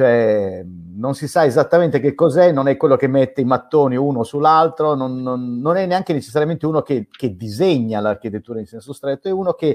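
The pace is fairly quick. The background is quiet. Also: man. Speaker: guest. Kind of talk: interview answer. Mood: relaxed, reflective, some laughter. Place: home room. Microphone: video call.

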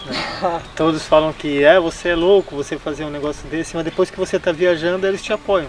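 Clear music plays in the background as a man speaks at a fairly quick pace with fairly even intonation, the sound dry with no echo. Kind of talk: interview answer. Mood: warm, cheerful. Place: garden.

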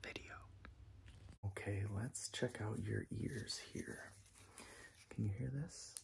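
A man whispers at a very slow pace. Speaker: ASMR creator. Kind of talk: ASMR roleplay, whispered medical exam. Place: home room.

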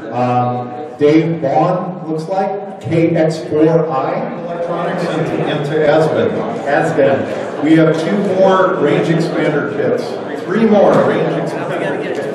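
A man talking at a very slow pace with ordinary pitch variation, audible room echo and loud background noise. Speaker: event announcer. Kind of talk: prize drawing announcements. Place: hall.

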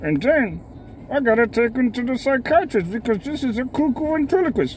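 Over clear background noise, a man puts on a cartoonish character voice. His pitch is extremely high. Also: moderate pace. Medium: puppet. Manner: cheeky, wisecracking.

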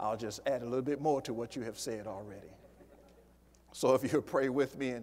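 This man's intonation stays fairly even while he talks at a moderate pace. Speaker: pastor. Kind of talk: sermon. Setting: church. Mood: warm, solemn. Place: church.

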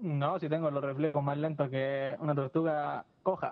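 Man with an Argentine accent, dry sound with no echo, quiet background. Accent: Argentine Spanish (Rioplatense). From Argentina. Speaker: gaming YouTuber. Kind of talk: casual gameplay commentary. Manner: animated. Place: home room. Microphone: studio mic.

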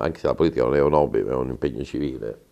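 The background is quiet. A man speaks very fast. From Calabria, Italy. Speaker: mayoral candidate, former mayor; candidate. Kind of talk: interview; interview answer. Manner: halting. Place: studio. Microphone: lapel.

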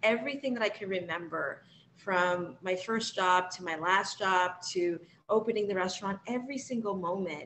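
With an American accent, a woman speaks at medium pitch and a moderate pace, her pitch varying in an ordinary way over light background noise. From South Florida, Jamaican family. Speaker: chef and author. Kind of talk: interview about her memoir. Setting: video call. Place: kitchen. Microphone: video call.

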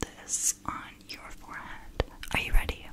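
A woman whispers at a fairly slow pace. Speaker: ASMR roleplay host. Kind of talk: soft-spoken ASMR roleplay. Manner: soft close-mic ASMR voice. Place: home room. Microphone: studio mic.

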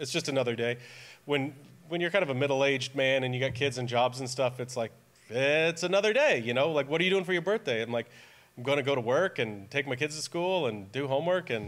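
This man talks at a very fast pace with ordinary pitch variation. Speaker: preacher. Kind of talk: sermon. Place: church. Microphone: podium.

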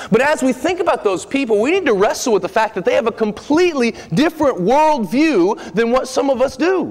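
The speech moves at a fairly quick pace with hardly any pauses. Its intonation is lively. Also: man, extremely high pitch for a man. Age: 30s. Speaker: preacher. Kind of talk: sermon. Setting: church. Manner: animated. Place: church. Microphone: podium.

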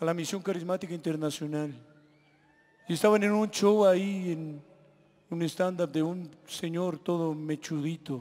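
Speaking at a fairly slow pace with long, frequent pauses, a man holds a high pitch and fairly even intonation. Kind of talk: testimony to a live audience. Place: stage. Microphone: handheld.

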